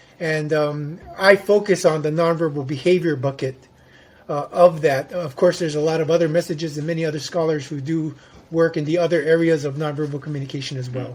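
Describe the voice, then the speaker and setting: Using a plain, everyday voice, a man talks at a fairly quick pace with a fairly high pitch and fairly even intonation. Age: 60s. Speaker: psychology researcher on nonverbal behavior. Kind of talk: interview.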